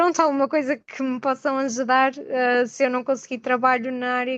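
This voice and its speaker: Over a quiet background, a woman with a high voice talks at a fairly quick pace with fairly even intonation, the sound dry and close with no echo. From northern Portugal, Gaia. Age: 20s. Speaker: nursing graduate, webinar participant. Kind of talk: question in a webinar.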